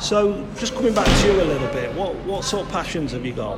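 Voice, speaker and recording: With an East Midlands accent, a man talks at a fairly quick pace. Audible room echo and noticeable background noise surround his voice. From Nottingham, England (Clifton). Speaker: community podcast host. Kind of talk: casual interview. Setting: leisure centre.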